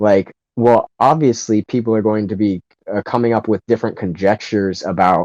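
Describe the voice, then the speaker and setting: At a moderate pace, a man with a fairly low pitch and an unremarkable speaking voice talks with ordinary pitch variation against a quiet background. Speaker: podcast co-host. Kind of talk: casual debate discussion.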